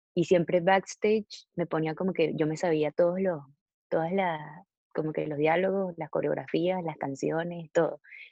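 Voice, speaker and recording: A woman speaks at a moderate pace with a fairly low pitch. Her intonation stays monotone and flat. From Venezuela. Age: 20s. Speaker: singer-songwriter. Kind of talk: casual interview. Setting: video call.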